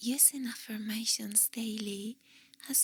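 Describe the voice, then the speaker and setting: Whispering at a very slow pace. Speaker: ASMR artist. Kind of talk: ASMR positive affirmations. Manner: whispered.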